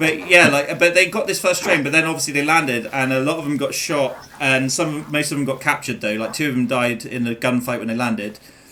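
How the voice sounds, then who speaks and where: Talking at a very fast pace with hardly any pauses, a man with an English accent has a fairly high pitch with ordinary variation, against noticeable background noise. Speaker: gaming streamer. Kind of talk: casual chat. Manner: halting.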